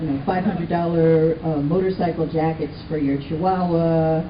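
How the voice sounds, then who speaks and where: A woman speaks at a moderate pace with a fairly low pitch and ordinary pitch variation. There is noticeable background noise. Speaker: radio correspondent. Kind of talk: interviewer questions.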